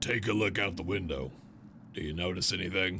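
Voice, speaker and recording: A man puts on a raspy character voice with a very deep, low pitch. He talks at a fairly quick pace over clear background noise. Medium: game stream. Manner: grim, flat.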